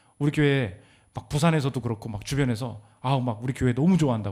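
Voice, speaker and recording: The man talks very fast. There is a somewhat breathy quality to his voice. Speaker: pastor. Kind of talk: sermon. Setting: church. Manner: animated.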